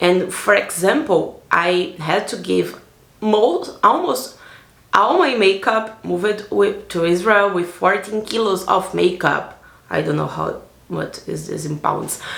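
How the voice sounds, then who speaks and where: A woman with a Brazilian accent speaks at a very slow pace with ordinary pitch variation, amid audible room echo and noticeable background noise. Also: medium pitch for a woman. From Brazil, Salvador, Bahia. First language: Portuguese. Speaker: vlogger. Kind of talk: personal vlog narration. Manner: casual, with fillers.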